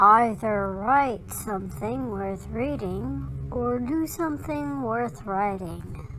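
Cartoonish, female-sounding character voice, very slow with hardly any pauses, over clear background noise. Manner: hesitant, folksy, jovial.

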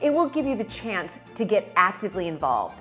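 Faint music plays in the background while the speech goes at a moderate pace. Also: woman. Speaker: presenter. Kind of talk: crowdfunding appeal to camera. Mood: warm, enthusiastic. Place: kitchen. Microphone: lapel.

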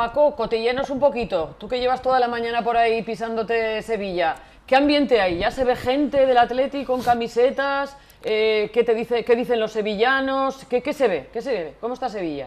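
Her pitch varies in an ordinary way as a woman talks at a moderate pace. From Portugalete, Basque Country. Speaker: TV presenter. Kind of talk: live TV show. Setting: studio. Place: studio.

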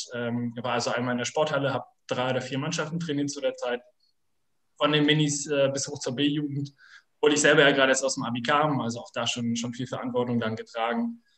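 Against a quiet background, a man talks at a very fast pace with fairly high pitch. His intonation is fairly even, and room echo is audible. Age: 20s. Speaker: sports club director. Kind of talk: online panel discussion. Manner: halting. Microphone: video call.

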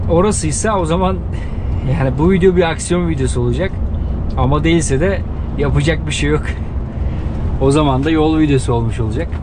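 A man speaks at a fairly quick pace with a very deep, low pitch, ordinary pitch variation and very even loudness. The sound is dry with no echo, and background noise is noticeable. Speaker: truck driver vlogger. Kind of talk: casual vlog chat. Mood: relaxed, amused. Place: car.

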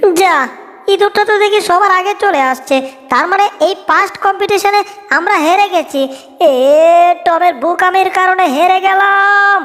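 A cartoonish character voice with an extremely high pitch moves at a moderate pace over light background noise. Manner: chirpy announcer, rhyming.

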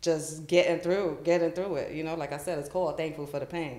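In a room with audible echo, a woman speaks with a very deep, low pitch, a dark, mellow tone and monotone, flat intonation. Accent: American. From New York, the Bronx. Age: 40s. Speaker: children's author; podcast guest. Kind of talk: interview. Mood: reflective, calm. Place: studio.

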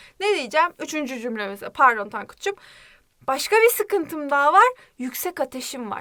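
A woman speaks in a high, raised, projected voice at a fairly quick pace. She sounds animated, with very wide pitch swings. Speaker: Korean language teacher. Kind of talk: language lesson.

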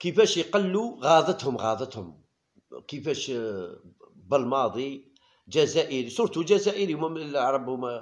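Lively intonation at a fairly slow pace, with long, frequent pauses. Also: man, fairly high pitch for a man. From Algeria. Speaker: YouTube football commentator. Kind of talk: casual monologue. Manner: animated. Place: home room. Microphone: phone near.

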